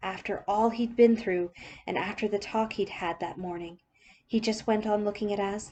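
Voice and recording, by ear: The text is read aloud in a natural voice.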